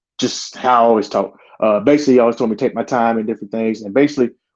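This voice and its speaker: At a very fast pace, a man with a medium-pitched voice speaks with fairly even intonation. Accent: Southern US. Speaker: sheriff's deputy. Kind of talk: interview storytelling.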